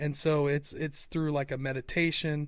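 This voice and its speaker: Flat and monotone, a man speaks at a moderate pace with an American accent. His pitch is fairly high. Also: very clean recording, silent background. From Ohio, US Midwest. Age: 40s. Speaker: podcast host. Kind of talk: casual chat.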